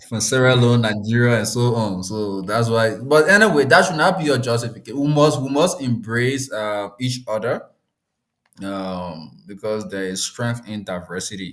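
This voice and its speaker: With a Liberian accent, a man speaks at medium pitch using lively intonation. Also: moderate pace. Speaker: discussion host. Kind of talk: live discussion. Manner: halting, many repetitions.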